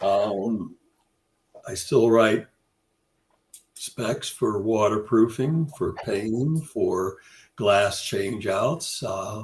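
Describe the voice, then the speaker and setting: Somewhat breathy and very slow, a man talks with long, frequent pauses and ordinary pitch variation. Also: medium pitch for a man. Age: 80s+. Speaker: curtain wall consultant. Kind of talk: podcast interview. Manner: halting.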